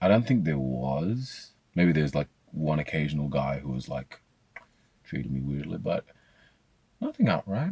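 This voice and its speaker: A man speaks at a moderate pace with a very deep, low pitch and an Australian accent. His speech has long, frequent pauses. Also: lively intonation, dry, close sound with no echo. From Australia (Sydney, Blacktown). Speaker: psychology student. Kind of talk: interview answer. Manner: casual, hesitant.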